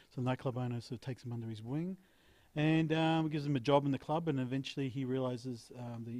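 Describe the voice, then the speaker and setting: With an Australian accent, a man speaks at a medium pitch with fairly even intonation and a dark, mellow tone. The recording is very clean, with a silent background. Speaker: actor and film director. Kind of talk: interview.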